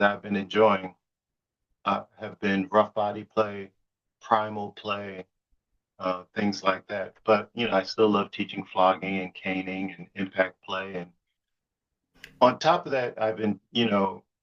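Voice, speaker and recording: Someone with an American accent speaks at a fairly slow pace with big swings in loudness, in a dry, close sound with no echo. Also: man, fairly low pitch for a man, fairly even intonation. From US, New York City. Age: 60s. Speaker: BDSM educator and musician. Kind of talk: podcast interview. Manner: halting, repeats words.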